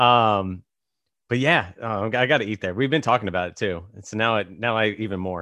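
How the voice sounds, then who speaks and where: A man with an American accent has a normal speaking voice with a fairly low pitch and ordinary pitch variation. He talks fairly quickly, and his loudness swings a lot. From Virginia. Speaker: podcast host. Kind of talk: casual chat.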